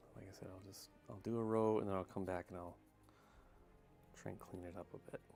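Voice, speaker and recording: A soft-spoken man with a very deep, low pitch, a very fast pace, long, frequent pauses, fairly even intonation and big swings in loudness, with music in the background. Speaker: hobby miniature painter streamer. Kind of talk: casual live stream narration. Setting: live stream at home.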